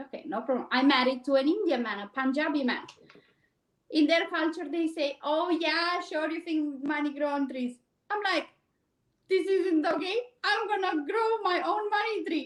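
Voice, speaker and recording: A woman's extremely high, lively voice in a Romanian accent. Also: moderate pace. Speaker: cleaning business owner. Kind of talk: interview. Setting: live stream.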